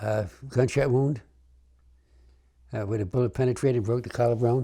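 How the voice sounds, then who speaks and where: With a New York accent, the speaker has a dark, mellow tone, somewhat breathy, with fairly even intonation at a moderate pace. The recording is very clean, with a silent background. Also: man, medium pitch for a man. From New York City (Bronx). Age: 90s. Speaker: war veteran. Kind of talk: oral history interview. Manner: halting, with repetitions.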